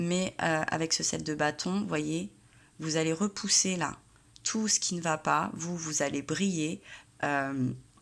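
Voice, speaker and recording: Soft-spoken and very deep in pitch, a woman talks at a very slow pace with lively intonation and long, frequent pauses, recorded very cleanly with a silent background. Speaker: tarot reader. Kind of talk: tarot reading monologue. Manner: hesitant with many fillers.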